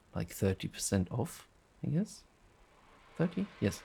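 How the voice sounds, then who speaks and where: Vocal fry runs through a man's dark, mellow tone. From Germany. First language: German. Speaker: youtuber demonstrating audio software. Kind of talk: casual tutorial. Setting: home recording at night. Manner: hushed, quiet speaking; rambling with fillers.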